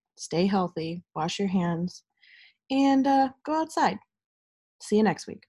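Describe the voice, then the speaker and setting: A woman's medium-pitched, somewhat breathy voice, upbeat yet dark and mellow in tone, with very wide pitch swings at a moderate pace, in a dry, close sound with no echo. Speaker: college radio host. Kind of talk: radio DJ patter, introducing songs. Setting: home recording. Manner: casual, upbeat, chatty.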